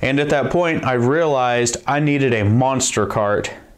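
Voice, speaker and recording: A man talks at a moderate pace. His pitch variation is ordinary. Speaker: DIY tool channel host. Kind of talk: tutorial intro, casual explanation. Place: workshop.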